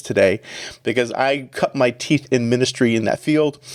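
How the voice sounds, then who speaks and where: Recorded with a dry, close sound and no echo, a man speaks at medium pitch with a slight Canadian accent. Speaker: executive pastor. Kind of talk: podcast interview.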